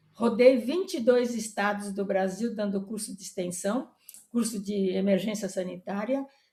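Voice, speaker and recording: A woman speaks at a medium pitch and a fairly slow pace, her dark, mellow tone somewhat breathy and her intonation fairly even. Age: 80s+. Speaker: retired veterinary professor. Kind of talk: interview. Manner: halting.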